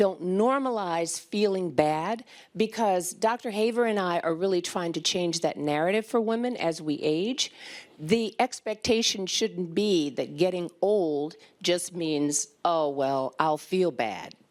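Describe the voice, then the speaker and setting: A woman with an ordinary speaking voice talks at a fairly slow pace. Her pitch is fairly low, and her intonation is lively. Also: very clean recording, silent background. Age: 60s. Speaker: physician. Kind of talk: conference panel talk.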